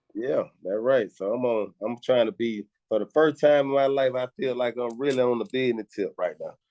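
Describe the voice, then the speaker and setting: Speaking with a strong Southern accent, a man holds a medium pitch and ordinary pitch variation at a moderate pace, with hardly any pauses. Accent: heavy Southern. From Atlanta, Georgia (Decatur). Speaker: rapper. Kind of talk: interview. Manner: casual, slangy.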